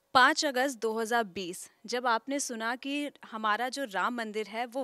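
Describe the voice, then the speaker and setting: The tone is bright and sharp. The sound is dry, with no echo. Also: woman. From Ayodhya, Uttar Pradesh, India; Uttar Pradesh, India. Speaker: news anchor; news interviewer. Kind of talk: interview. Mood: warm, upbeat. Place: studio. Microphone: handheld.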